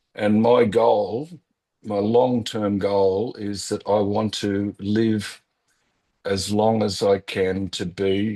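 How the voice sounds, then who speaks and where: A man with an Australian accent talks at a very slow pace, with a fairly low pitch, a dark, mellow tone and monotone, flat intonation. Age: 60s. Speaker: real estate business owner, cancer survivor. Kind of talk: podcast interview. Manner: halting.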